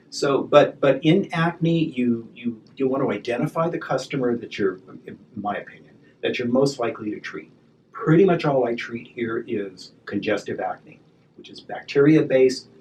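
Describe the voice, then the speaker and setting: The speech has lively intonation and big swings in loudness at a moderate pace. Noticeable background noise is present. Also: man, medium pitch for a man. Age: 60s. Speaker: esthetician and spa business owner. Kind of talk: interview conversation. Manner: halting, frequent repetitions.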